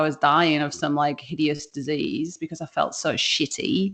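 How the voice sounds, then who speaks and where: Against a quiet background, a woman with a British accent talks at a moderate pace in a fairly low voice. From UK. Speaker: business founder. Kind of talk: interview. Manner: casual, hesitant with many fillers.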